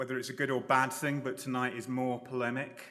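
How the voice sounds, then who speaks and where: Loud speech with audible room echo. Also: man. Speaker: architecture professor. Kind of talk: lecture. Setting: lecture hall with audience.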